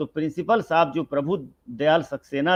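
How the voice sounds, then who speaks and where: A man's voice with ordinary pitch variation. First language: Bhojpuri (speaking Hindi). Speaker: senior writer and professor. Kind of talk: interview conversation.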